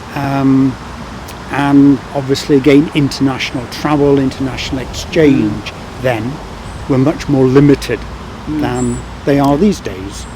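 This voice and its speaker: A man with a medium-pitched voice speaks in a fairly even intonation over noticeable background noise. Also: fairly slow pace. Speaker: former international affairs worker. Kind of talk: oral history interview.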